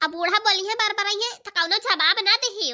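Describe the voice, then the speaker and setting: A cartoonish character voice at a fairly quick pace, with ordinary pitch variation. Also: woman. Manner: warm, motherly.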